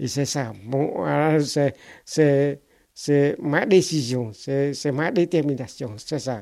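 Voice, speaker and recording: In a Cambodian accent, the speaker talks at a very slow pace with a dark, mellow tone and ordinary pitch variation, on a very clean recording with a silent background. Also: man, fairly high pitch for a man. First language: Khmer (speaking French). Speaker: refugee and former literature teacher. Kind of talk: life-story testimony interview. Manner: halting, with many repetitions.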